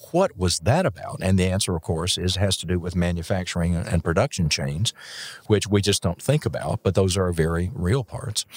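A man's very deep, low voice at a moderate pace, with ordinary pitch variation and a dry, close sound with no echo. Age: 60s. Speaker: physician and EMS educator. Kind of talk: casual interview chat. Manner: jovial, joking.

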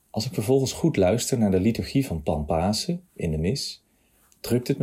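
At a moderate pace, a man speaks in a somewhat breathy voice with a dark, mellow tone and lively intonation. The recording is very clean, with a silent background. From Nijmegen, Netherlands. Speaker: churchgoer giving testimony. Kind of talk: testimony, read from text.

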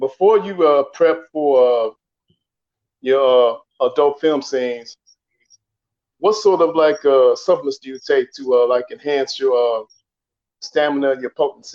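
With long, frequent pauses, a man of fairly high pitch and ordinary pitch variation speaks in dry, close sound with no echo. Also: fairly slow pace. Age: 50s. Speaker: caller. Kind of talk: casual chat. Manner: halting.

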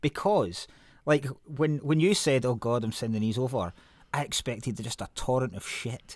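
This man's medium-pitched voice moves at a moderate pace with lively intonation. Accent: Scottish. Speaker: podcast host. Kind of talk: casual chat.

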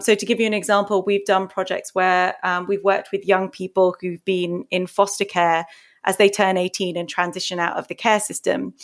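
A woman with monotone, flat intonation on a very clean recording with a silent background. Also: medium pitch for a woman, moderate pace. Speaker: nonprofit program head. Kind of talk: casual interview.

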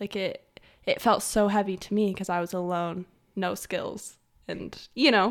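In a very clean recording with a silent background, a woman with an American accent speaks in an ordinary speaking voice at a medium pitch, keeping fairly even intonation at a fairly slow pace. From Utah. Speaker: podcast guest. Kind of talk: interview.

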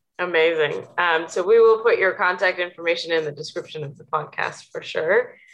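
Here is a woman with a plain, everyday voice and a fairly low pitch. She talks at a fairly quick pace with ordinary pitch variation. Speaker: podcast host. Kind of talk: interview.

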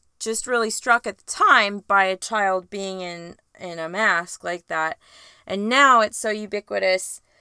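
The delivery is a natural reading voice. Pitch variation is ordinary.

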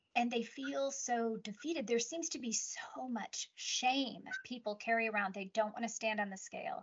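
This is a normal speaking voice: a woman talks at a moderate pace with hardly any pauses, in a fairly high pitch with ordinary pitch variation. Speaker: podcast host, nurse practitioner. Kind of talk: casual interview conversation.

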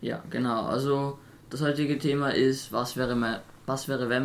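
With clearly audible noise in the background, a man speaks in a fairly flat, even intonation. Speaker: podcast co-host. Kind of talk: casual chat.

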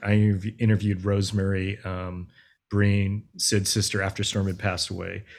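A man's fairly low, monotone voice with flat intonation at a moderate pace, on a very clean recording with a silent background. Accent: American. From US West Coast. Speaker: film director. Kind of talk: interview.

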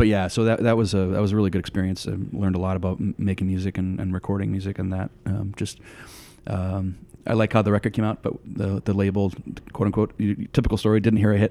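A man speaks very fast with a fairly low pitch and a dark, mellow tone. His intonation stays monotone and flat. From US Northeast, southern New Hampshire. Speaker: hardcore band vocalist. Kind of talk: casual interview. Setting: at the guest's home.

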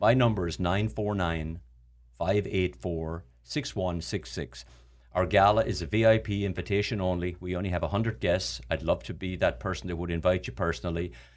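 On a very clean recording with a silent background, a man with an Irish accent speaks fairly quickly in a very deep, low voice with vocal fry and lively intonation. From Ireland. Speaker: charity founder. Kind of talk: casual chat. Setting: studio.

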